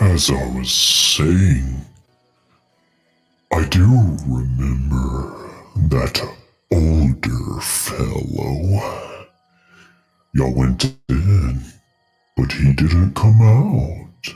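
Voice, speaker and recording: A man in a put-on character voice, very deep and low, very slow with long, frequent pauses, faint music behind him. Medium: actual play. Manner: easygoing, folksy, obliging.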